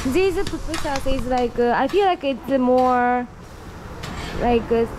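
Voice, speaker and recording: A woman speaks with a Japanese accent at a very slow pace. Noticeable background noise can be heard. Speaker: travel vlogger. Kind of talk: casual travel vlog. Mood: cheerful, curious. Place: cafe. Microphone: phone near.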